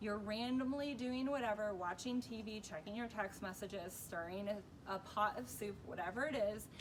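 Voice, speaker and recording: A woman's fairly high-pitched voice at a moderate pace, with ordinary pitch variation over noticeable background noise. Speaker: dog trainer. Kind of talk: tutorial. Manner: casual, conversational.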